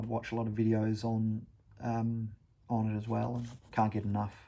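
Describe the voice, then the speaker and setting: A man with an Australian accent talks at medium pitch and a moderate pace with a dark, mellow tone. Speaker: wargaming hobbyist vlogger. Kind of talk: casual vlog talk. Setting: at home. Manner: halting.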